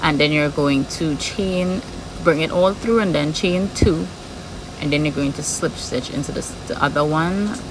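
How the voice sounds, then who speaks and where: The speech is fairly slow, in a strong Trinidadian accent. Noticeable background noise is heard. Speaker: crochet tutorial creator. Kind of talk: tutorial. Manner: regular speed, step-by-step.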